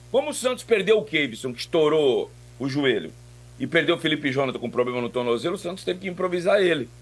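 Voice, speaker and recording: A man talks at a very fast pace. His fairly high voice carries lively intonation. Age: 50s. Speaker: sports radio commentator. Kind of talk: sports talk radio.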